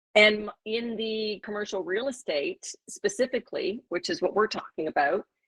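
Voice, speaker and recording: A woman with a normal speaking voice talks at a moderate pace with hardly any pauses, her fairly high pitch carried by lively intonation. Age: 60s. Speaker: former real estate executive, panel guest. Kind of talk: panel discussion.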